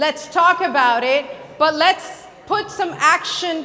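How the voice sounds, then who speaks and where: With audible room echo and noticeable background noise, a woman uses a raised, projected voice at a high pitch, ordinary pitch variation and a very slow pace. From Puerto Rico. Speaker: youth ministry speaker. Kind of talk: conference talk. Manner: loud.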